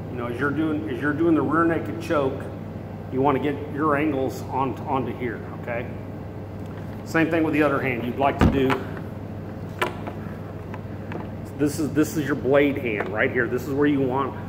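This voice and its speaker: Over noticeable background noise, a man speaks at a moderate pace, pausing long and often. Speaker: self-defense trainer. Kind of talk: tutorial. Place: bar. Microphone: phone near.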